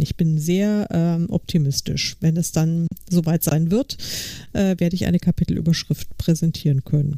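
A woman's dark, mellow tone comes through at a moderate pace. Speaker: podcast co-host. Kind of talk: casual chat.

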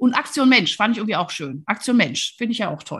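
Animated in tone, a woman speaks at a fairly high pitch. Her voice is somewhat breathy against a quiet background. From Rhineland, near Cologne, Germany. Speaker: podcast host, leadership coach. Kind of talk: casual interview.

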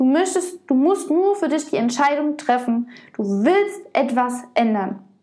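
At a very slow pace, a woman speaks with a high pitch and a dark, mellow tone, her pitch swinging very widely while her loudness stays very even. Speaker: podcast host and body-image coach. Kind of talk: solo podcast monologue. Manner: emotional, heartfelt.

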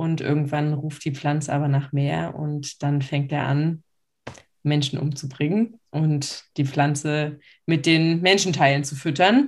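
A woman talks at a very slow pace. Her voice is very deep and low, with fairly even intonation. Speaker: podcast co-host. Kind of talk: casual chat. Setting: video call.

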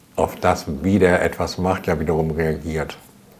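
Background noise is noticeable here. Through it, a man talks. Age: 60s. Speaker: choreographer and director. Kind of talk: interview.

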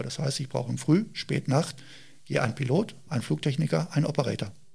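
Fairly high male speech with vocal fry and a moderate tempo. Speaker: police helicopter pilot. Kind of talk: interview. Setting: on location at police helicopter base.

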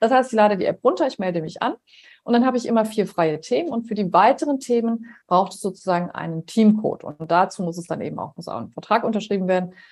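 A woman of medium pitch talks at a very fast pace with lively intonation. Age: 50s. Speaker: nurse and healthcare startup founder. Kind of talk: podcast interview.

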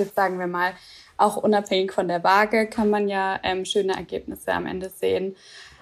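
This is a woman at a medium pitch. She has a normal speaking voice. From Swabia, southern Germany. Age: 20s. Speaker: office worker and program participant. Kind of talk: casual interview chat.

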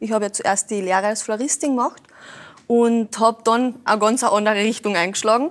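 A woman speaks at a fairly quick pace with a Carinthian accent, her fairly high pitch showing ordinary variation. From Carinthia, Austria. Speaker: racing driver and florist. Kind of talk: talk show conversation.

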